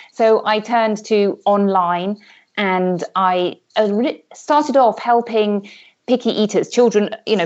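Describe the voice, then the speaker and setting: Speaking with a British accent, a woman uses a medium pitch with ordinary pitch variation. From UK. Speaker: health coach, former pediatric doctor. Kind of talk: interview.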